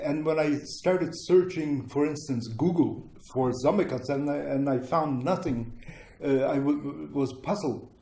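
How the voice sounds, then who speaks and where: Against audible room echo, a man with a Ukrainian accent talks at a fairly slow pace in a dark, mellow tone, fairly high in pitch with ordinary pitch variation. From Ukraine, childhood in Germany. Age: 70s. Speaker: former displaced person, interviewee. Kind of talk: interview, personal recollection. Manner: halting, many fillers.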